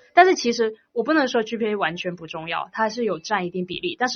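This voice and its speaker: A woman talks at a fairly quick pace, her pitch swinging very widely. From China, Guangdong. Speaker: university student. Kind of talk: casual interview.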